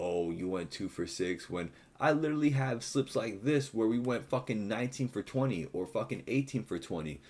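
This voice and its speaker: With vocal fry and a fairly low pitch, a man talks at a fairly quick pace in an animated tone, his pitch swinging very widely. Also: very clean recording, silent background. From Puerto Rican heritage, US. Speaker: sports betting YouTuber. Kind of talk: casual rant to camera.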